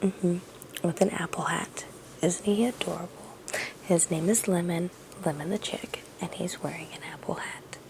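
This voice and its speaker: Whispering at a moderate pace, a woman is heard against noticeable background noise. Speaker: crochet artist and small business owner. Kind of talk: casual vlog. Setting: at home at night.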